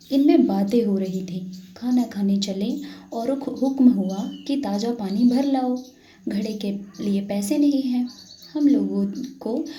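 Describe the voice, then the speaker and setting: Amid noticeable background noise, a soft-spoken woman talks at a fairly high pitch with ordinary pitch variation. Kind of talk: read story.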